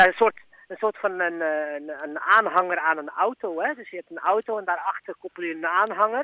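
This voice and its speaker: A man's raised, projected voice, high-pitched, bright and sharp in tone, with lively intonation at a fairly quick pace, in dry, close sound with no echo. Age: 30s. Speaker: personal coach. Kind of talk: interview. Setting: phone call. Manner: halting, many fillers.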